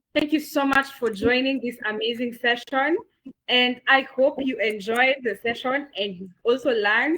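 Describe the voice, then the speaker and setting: A woman with a Kenyan accent speaks at a high pitch in an animated, bright, sharp tone. Her pitch varies in an ordinary way. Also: moderate pace. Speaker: webinar moderator. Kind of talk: online session wrap-up. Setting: video call.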